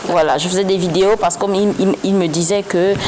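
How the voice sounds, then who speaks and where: Background noise is noticeable throughout. A woman does the talking. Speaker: comedian and web influencer. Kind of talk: interview.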